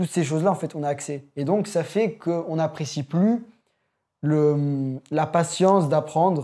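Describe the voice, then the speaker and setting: On a very clean recording with a silent background, the speaker goes at a fairly slow pace with ordinary pitch variation. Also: man, fairly high pitch for a man. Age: young. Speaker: young musician, guitarist and pianist. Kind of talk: casual chat. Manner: halting.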